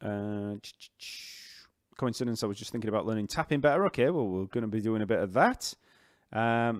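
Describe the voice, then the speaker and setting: A man with a Yorkshire accent, medium pitch and ordinary pitch variation, a fairly quick pace broken by long, frequent pauses, on a very clean recording with a silent background. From northern England. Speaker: livestream host answering chat. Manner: casual, conversational.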